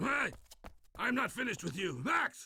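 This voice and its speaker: In a put-on character voice, a man talks at a moderate pace, raised and projected, with an extremely high pitch. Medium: video game. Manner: stern, lecturing.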